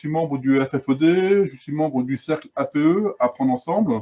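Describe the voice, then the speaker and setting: This man's voice sits fairly high in pitch and shows ordinary pitch variation. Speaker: independent consultant. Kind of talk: webinar presentation. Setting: video conference. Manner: loud.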